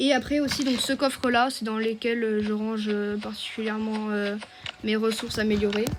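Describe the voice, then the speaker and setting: A woman talks at a moderate pace with fairly high pitch and monotone, flat intonation. Audible room echo and noticeable background noise surround her. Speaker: gaming youtuber. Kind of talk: gameplay tutorial. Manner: hesitant, many fillers.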